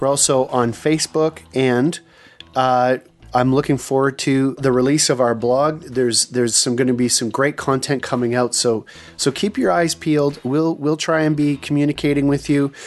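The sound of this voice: Man at a moderate pace and medium pitch, with fairly even intonation, very even loudness and music in the background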